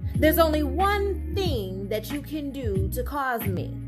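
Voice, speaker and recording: Music plays in the background. A woman speaks at a very slow pace. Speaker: spoken word poet. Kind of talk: spoken word poetry reading. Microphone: phone near.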